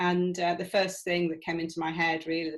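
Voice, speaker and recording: She speaks with a northern English accent. Her pitch is fairly low for a woman. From England. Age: 60s. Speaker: retired manager turned PhD student. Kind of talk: interview. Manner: hesitant with fillers.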